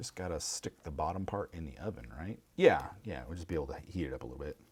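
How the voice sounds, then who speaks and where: A man with a Midwestern accent talks at a very fast pace in a very deep, low voice, with vocal fry, lively intonation and big swings in loudness. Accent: Midwest. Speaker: craft livestreamer. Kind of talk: casual chat while crafting on livestream.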